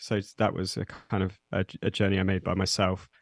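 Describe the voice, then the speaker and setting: A man with a British accent speaks at a fairly slow pace, in a dry, close sound with no echo. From English Midlands (Nottingham). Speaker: zine editor and metal musician. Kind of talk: interview. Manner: halting, many fillers.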